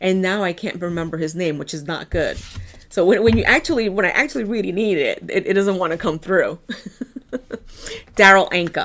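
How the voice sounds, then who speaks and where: Speaking at a fairly quick pace with long, frequent pauses, a woman with an American accent has a medium pitch and ordinary pitch variation over noticeable background noise. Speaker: tarot card reader. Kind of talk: tarot reading. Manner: casual.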